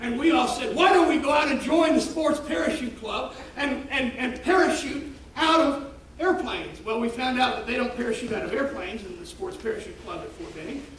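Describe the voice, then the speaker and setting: A man with an extremely high pitch talks at a fairly quick pace in an animated tone and lively intonation, his loudness swinging widely amid noticeable background noise and audible room echo. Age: 60s. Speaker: pastor. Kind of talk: sermon. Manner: animated storytelling.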